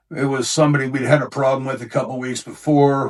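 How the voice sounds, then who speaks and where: Over a silent background in a very clean recording, a man with an unremarkable speaking voice talks at medium pitch and a fairly quick pace. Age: 60s. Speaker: bouncer. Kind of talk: interview storytelling.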